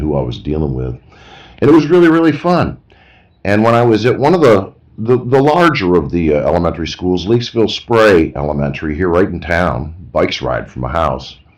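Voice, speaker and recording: At a moderate pace, a man with an American accent talks with very wide pitch swings. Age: 60s. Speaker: retired art teacher, vlogger. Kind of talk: casual monologue. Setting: outdoors on porch.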